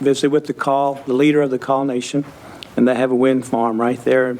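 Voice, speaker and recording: A man talks at a medium pitch with monotone, flat intonation. Noticeable background noise runs underneath. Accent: American. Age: 60s. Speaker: council chair. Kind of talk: council meeting debate.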